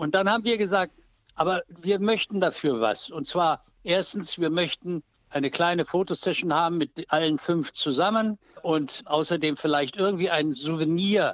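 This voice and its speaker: A high-pitched man talks at a moderate pace with ordinary pitch variation. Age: 80s+. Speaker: photographer. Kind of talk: phone interview, anecdotes. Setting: phone call.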